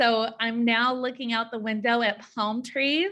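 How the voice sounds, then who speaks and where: In a very clean recording with a silent background, a woman with a slight Southern US accent speaks fairly slowly in a bright, sharp tone with fairly even intonation. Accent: slight Southern twang. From US South (Georgia, Tennessee). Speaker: school counselor and presenter. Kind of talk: training presentation. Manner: halting, many fillers.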